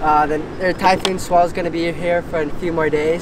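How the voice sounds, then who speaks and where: A man talks at a moderate pace in a dry sound with no echo. Noticeable background noise is present. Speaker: surfer vlogger. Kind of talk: casual vlog chat. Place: beach.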